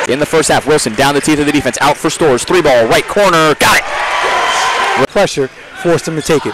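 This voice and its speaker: Fairly high in pitch, a man talks at a fairly quick pace. The sound is dry with no echo, with crowd noise in the background. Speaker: college basketball play-by-play announcer. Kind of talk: live play-by-play sports commentary over game highlights. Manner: rapid-fire, clipped, punchy calls, rising excitement on made threes; energetic, animated, with exclamations. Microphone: headset.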